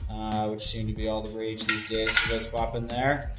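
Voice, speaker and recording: A man's voice at a moderate pace over clear music in the background. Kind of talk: product demonstration. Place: factory.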